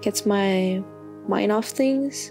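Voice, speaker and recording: Over music in the background, a woman with a non-native accent speaks at a medium pitch with lively intonation. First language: not English. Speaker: intern. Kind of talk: personal journal reading. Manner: hesitant, soft-spoken.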